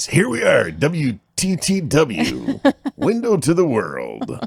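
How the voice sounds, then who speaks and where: A man uses a put-on character voice, fairly high in pitch, and speaks at a very slow pace. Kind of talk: radio announcer voice.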